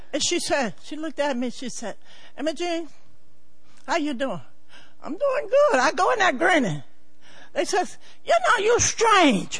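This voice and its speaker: A woman's extremely high voice with very wide pitch swings, a fairly slow pace, long, frequent pauses, and noticeable background noise. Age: 80s+. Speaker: church member. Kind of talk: testimony. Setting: church.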